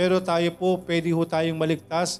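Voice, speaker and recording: Speaking fairly quickly, a man uses a high pitch. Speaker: preacher. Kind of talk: sermon.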